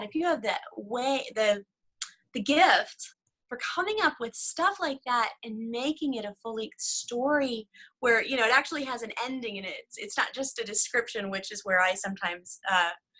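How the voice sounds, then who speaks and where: A woman with a Southern US accent speaks at a moderate pace in a high, bright, sharp voice, her pitch swinging very widely and her loudness rising and falling a lot. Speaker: devotional author and writing coach. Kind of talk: casual interview chat.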